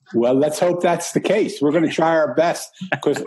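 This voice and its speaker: His tone comes across dark and mellow. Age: 60s. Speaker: author. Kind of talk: interview.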